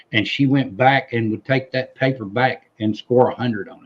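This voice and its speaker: A man's medium-pitched voice with a Southern US accent. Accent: Southern twang. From US South. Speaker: civil war history enthusiast. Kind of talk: casual chat. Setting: live stream.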